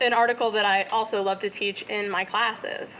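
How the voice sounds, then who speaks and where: Noticeable background noise accompanies a woman who speaks at a moderate pace with a fairly high pitch. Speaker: professor. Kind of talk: lecture.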